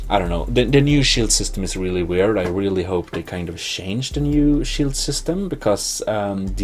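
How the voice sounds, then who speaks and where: A man speaks with a Swedish accent. Music plays in the background, and there is audible room echo. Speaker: gaming video host. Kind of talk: let's play commentary. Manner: halting, many fillers.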